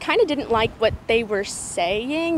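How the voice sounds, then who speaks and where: A woman speaks at a moderate pace, the sound dry with no echo and light noise in the background. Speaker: interviewee. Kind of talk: interview answer. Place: street. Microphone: handheld.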